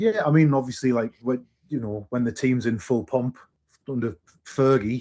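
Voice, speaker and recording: With a northeast English accent, a man speaks at medium pitch in a dark, mellow tone with ordinary pitch variation. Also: moderate pace. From northeast England, Sunderland. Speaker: musician. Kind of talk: casual chat. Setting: podcast.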